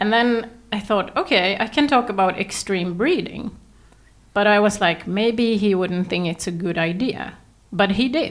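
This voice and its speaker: With a slight Swedish accent, a woman speaks at a fairly slow pace, with a medium pitch and ordinary pitch variation. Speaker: podcast host. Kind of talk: podcast interview. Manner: hesitant.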